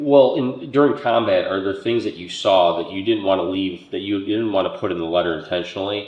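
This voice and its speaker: A man at a fairly low pitch, talking at a fairly quick pace with hardly any pauses and ordinary pitch variation, over noticeable background noise. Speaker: history channel host, interviewer. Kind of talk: interview questions.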